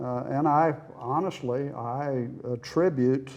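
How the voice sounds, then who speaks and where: A man with an Oklahoma accent talks at a medium pitch. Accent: Oklahoma, Southern US. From Oklahoma City. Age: 80s+. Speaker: retired accountant. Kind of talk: interview answer.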